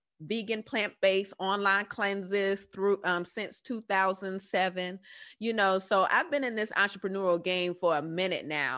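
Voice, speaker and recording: In an American accent, a woman with a medium pitch and a bright, sharp tone speaks with ordinary pitch variation against a quiet background. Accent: Bronx with some southern drawl. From New York, the Bronx. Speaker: podcast host, business coach. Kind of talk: casual monologue. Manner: animated.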